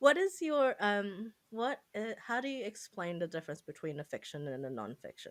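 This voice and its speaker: Speaking with a non-native accent, a woman uses a medium pitch with very wide pitch swings. She leaves hardly any pauses. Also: moderate pace. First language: not English. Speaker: podcast co-host. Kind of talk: casual chat.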